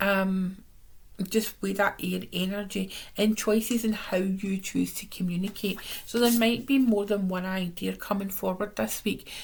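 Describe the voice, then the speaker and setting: Monotone, flat intonation marks a somewhat breathy voice. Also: woman, medium pitch for a woman. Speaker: tarot reader. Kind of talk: weekly tarot reading to camera. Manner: casual, warm, chatty.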